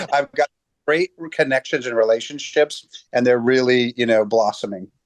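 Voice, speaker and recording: In a dry, close sound with no echo, the speaker uses a normal speaking voice at a moderate pace with ordinary pitch variation. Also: man, medium pitch for a man. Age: 50s. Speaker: chiropractor. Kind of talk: interview. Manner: casual, with many repeated words.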